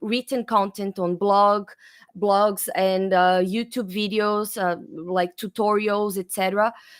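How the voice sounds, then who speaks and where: Speech in a Brazilian accent comes at a fairly slow pace with flat, monotone intonation. The recording is very clean, with a silent background. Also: woman. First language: Portuguese. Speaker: developer advocate. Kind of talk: interview.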